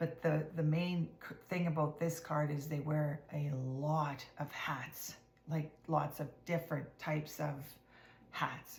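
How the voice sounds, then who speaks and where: A woman speaks at a very slow pace in a very deep, low voice that is somewhat breathy. Her intonation is monotone and flat. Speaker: tarot card reader. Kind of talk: casual tarot reading to camera. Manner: hesitant with fillers; partly whispering.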